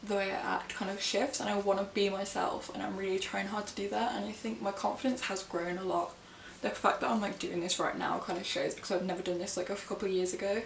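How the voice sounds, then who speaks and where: Amid noticeable background noise and audible room echo, a woman with a Birmingham accent talks at a very fast pace with ordinary pitch variation. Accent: Birmingham English (Brummie). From England, Birmingham. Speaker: book vlogger. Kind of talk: casual vlog chat.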